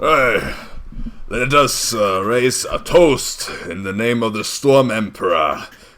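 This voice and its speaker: At a fairly slow pace, a man delivers his lines. He uses a put-on character voice pitched at a medium level. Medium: actual play.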